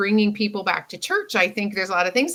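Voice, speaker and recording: Her voice is an unremarkable speaking voice at medium pitch, as a woman speaks with an American accent. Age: 60s. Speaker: communication mentor. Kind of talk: interview conversation.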